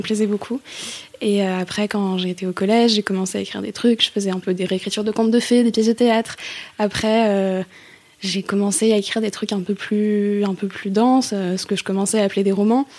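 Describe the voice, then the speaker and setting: At a fairly quick pace, a woman with a medium pitch talks in a monotone, flat intonation. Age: 20s. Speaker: student and novelist. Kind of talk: testimony. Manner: halting.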